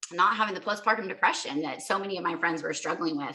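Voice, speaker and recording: A woman talks in a normal speaking voice at medium pitch. Her pitch varies in an ordinary way. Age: 40s. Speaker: mother sharing health story. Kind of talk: testimony.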